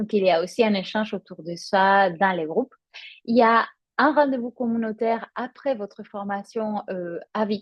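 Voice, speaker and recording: Her voice sits fairly high for a woman, with a usual amount of rise and fall. The speaking rate is moderate. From Spain. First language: Spanish (speaking French). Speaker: yoga teacher. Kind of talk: promotional presentation. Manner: hesitant, many fillers.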